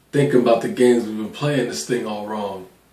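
Ordinary pitch variation from a man, with audible room echo. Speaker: spoken word poet. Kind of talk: spoken word poetry performance. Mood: reflective, emotional, intimate. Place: home room.

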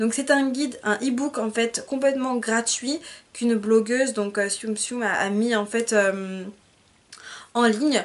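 A woman speaks at a fairly slow pace, her fairly high voice held to a fairly even intonation. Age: 20s. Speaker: beauty vlogger; hair vlogger. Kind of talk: tutorial. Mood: encouraging, sympathetic. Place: home room. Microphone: phone near.

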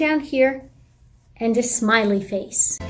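The speaker is a woman. Her voice is high in pitch. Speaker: presenter. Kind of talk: tutorial. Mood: warm, gentle.

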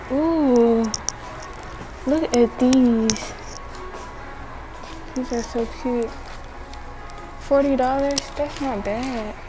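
With clear music in the background, a woman with a high pitch speaks in fairly even intonation, leaving long, frequent pauses. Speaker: shopping vlogger. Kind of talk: casual vlog chat. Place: shop. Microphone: phone near.

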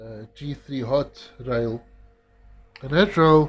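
This man has a fairly high pitch and speaks at a very slow pace. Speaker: electronics repair technician. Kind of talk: tutorial.

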